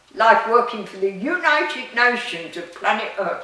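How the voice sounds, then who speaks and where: A woman speaks at a fairly high pitch and a fairly slow pace with lively intonation. Noticeable background noise and audible room echo are present. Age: 90s. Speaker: metaphysics speaker, retired UN worker. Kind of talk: interview.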